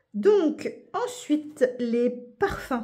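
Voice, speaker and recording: A woman speaks with a dark, mellow tone. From Paris region, France. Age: 40s. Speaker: budgeting YouTuber. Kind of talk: casual chat. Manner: animated.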